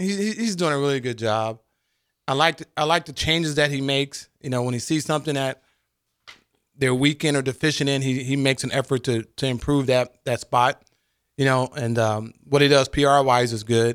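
A man's normal speaking voice, a normal speaking voice at medium pitch, fairly quick, with ordinary pitch variation and a dry, close sound with no echo. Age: 50s. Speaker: former college quarterback, football analyst. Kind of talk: casual sports talk radio chat. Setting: radio studio.

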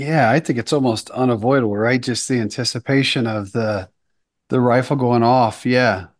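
A plain, everyday voice speaks at a moderate pace with fairly even intonation, the background quiet. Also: man, medium pitch for a man. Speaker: suppressor company representative. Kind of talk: casual interview chat.

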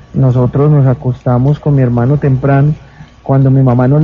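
His delivery is monotone and flat, at a fairly quick pace. The man's voice is fairly high in pitch and somewhat breathy. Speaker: mayor and tragedy survivor. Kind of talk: on-site interview, guided tour. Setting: outdoors at night in the rain.

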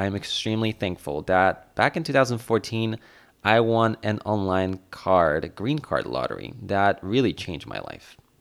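Here a man speaks in a Polish accent at a fairly slow pace and fairly low pitch. The recording is very clean, with a silent background. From Poland. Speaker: podcast host. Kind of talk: solo podcast monologue.

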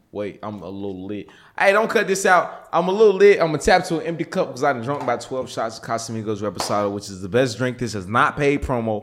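A man's medium-pitched voice at a very fast pace, with very wide pitch swings and hardly any pauses, on a very clean recording with a silent background. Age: 20s. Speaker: social media influencer and philanthropist. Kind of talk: casual interview chat.

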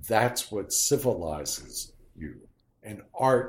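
Somewhat breathy, the voice speaks at a very slow pace with an American accent. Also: man. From Harrisburg, Pennsylvania. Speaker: theater director. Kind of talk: interview.

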